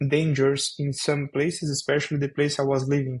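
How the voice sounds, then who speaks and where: A man's fairly high, somewhat breathy voice with a Brazilian Portuguese accent. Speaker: software developer. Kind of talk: podcast interview. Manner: halting, many fillers.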